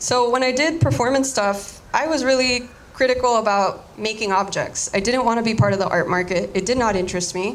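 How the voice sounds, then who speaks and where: A woman with a Spanish accent talks at a moderate pace with ordinary pitch variation, with noticeable background noise and audible room echo. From Miami, Florida (Cuban exile community). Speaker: artist. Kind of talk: artist talk. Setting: audience.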